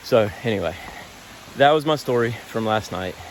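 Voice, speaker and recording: A soft-spoken man at medium pitch, with a moderate pace, ordinary pitch variation and noticeable background noise. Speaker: long-distance hiker vlogger. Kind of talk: casual vlog narration. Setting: outdoors on a hiking trail.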